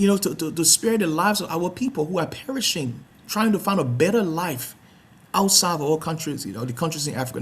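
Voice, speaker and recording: Very fast speech in a Liberian accent. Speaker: talk show host, founder of advocacy organization. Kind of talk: online talk show introduction. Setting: live online telecast. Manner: halting, many repetitions and fillers.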